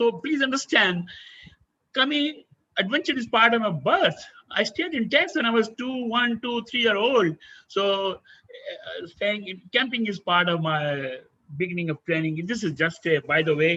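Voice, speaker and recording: A man's high-pitched voice is raised and projected, with a bright, sharp tone. His pitch swings very widely at a fairly slow pace. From India. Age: 70s. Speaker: adventurer and former army officer. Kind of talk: webinar talk.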